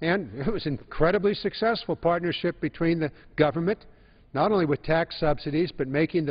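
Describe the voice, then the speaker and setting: Moving at a moderate pace, a man speaks with ordinary pitch variation over a quiet background. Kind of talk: floor speech. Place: hall. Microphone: podium.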